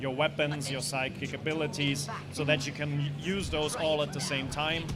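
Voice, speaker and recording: With music in the background and audible room echo, a man with a German accent and a fairly high pitch speaks at a moderate pace in a monotone, flat intonation. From Austria. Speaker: game developer. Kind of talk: interview. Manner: halting.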